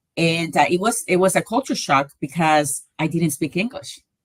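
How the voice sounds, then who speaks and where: Speaking at a moderate pace with a Spanish accent, a woman has a very deep, low pitch and ordinary pitch variation. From Colombia. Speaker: navy veteran. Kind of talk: interview.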